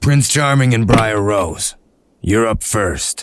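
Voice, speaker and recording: A put-on character voice moves along at a fairly slow pace. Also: man, medium pitch for a man. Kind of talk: comic dub.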